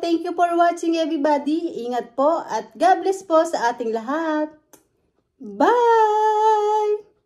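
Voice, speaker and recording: Loud and very slow, a woman speaks with an extremely high pitch, very wide pitch swings and a dark, mellow tone. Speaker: food vlogger. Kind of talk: mukbang vlog chat. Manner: talkative.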